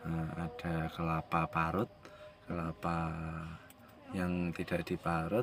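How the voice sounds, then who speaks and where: Speaking at a very slow pace, a man uses a very deep, low pitch. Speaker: vlogger. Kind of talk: casual vlog.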